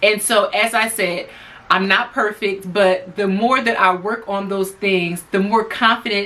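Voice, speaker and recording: A woman's medium-pitched voice at a fairly slow pace over noticeable background noise. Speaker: lifestyle YouTuber and hairdresser. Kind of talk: casual talk to camera. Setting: alone in a room.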